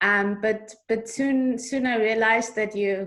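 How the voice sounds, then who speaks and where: A woman speaks with an Austrian accent. Her pitch variation is ordinary. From Austria, Vienna. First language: German. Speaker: author. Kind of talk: interview.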